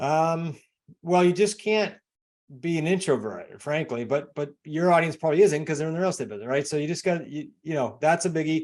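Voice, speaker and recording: A man with a New England accent talks at a fairly quick pace, his pitch fairly high with ordinary variation, on a very clean recording with a silent background. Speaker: real estate investor and coach. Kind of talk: interview. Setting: podcast.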